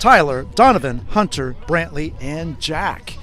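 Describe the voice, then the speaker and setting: Music plays in the background as a man talks at a fairly slow pace. Audible room echo fills the recording. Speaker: youth baseball play-by-play commentator. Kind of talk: live sports commentary. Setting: at a baseball field.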